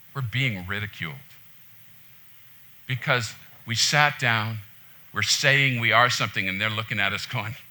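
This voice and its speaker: A man speaks in a passionate, bright, sharp tone at a moderate pace, with ordinary pitch variation, long, frequent pauses, and audible room echo. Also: medium pitch for a man. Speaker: pastor. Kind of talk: sermon. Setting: church. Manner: loud, passionate.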